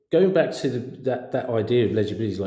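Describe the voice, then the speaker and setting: A man talks with a dark, mellow tone that comes across somewhat breathy. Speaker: podcast host. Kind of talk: interview.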